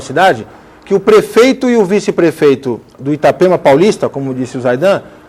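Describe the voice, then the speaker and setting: Noticeable background noise runs behind a man talking at a fairly quick pace in a high voice. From Brazil, Guarujá area. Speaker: lawyer and emancipation activist. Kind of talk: TV debate. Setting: TV studio.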